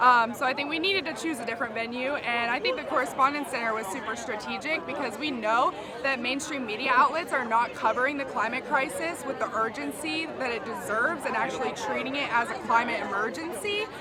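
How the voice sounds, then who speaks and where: A raised, projected voice with lively intonation at a fairly quick pace, hardly any pauses, audible room echo and crowd noise in the background. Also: woman, high pitch for a woman. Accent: American. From West Virginia. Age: 20s. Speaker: climate activist. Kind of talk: street interview.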